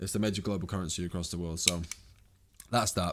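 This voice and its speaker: In a very clean recording with a silent background, a man speaks with ordinary pitch variation. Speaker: trading educator. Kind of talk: tutorial. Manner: fast; casual, unscripted.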